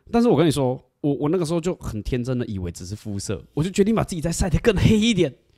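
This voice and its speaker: A man speaks very fast with a dark, mellow tone and very wide swings in pitch. The recording is very clean, with a silent background. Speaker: bar owner. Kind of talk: casual chat.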